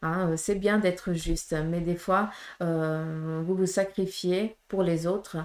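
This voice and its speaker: On a very clean recording with a silent background, a woman speaks very slowly at a fairly low pitch with monotone, flat intonation. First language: Portuguese (speaking French). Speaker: medium, tarot reader. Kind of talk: tarot reading guidance to viewers. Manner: hesitant, many fillers.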